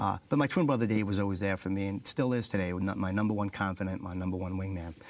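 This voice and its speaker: A very fast-talking man with a New York accent, fairly low pitch and ordinary pitch variation. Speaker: motivational speaker, former fighter pilot. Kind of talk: interview.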